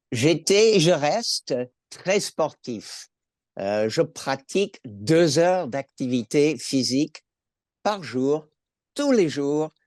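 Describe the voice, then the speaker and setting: A man with an American accent speaks very slowly at a fairly high pitch, using lively intonation and long, frequent pauses. The sound is dry and close with no echo, over a quiet background. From California, US. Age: 70s. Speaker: cancer patient, retired school administrator. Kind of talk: patient testimony in webinar. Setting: online webinar.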